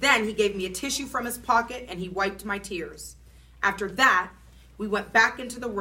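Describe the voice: What we hear is plain reading aloud.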